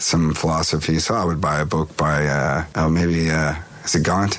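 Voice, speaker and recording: Speaking at a moderate pace, a man with an American accent has a very deep, low voice. Noticeable background noise is present. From California. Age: 50s. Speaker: touring musician. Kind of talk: interview.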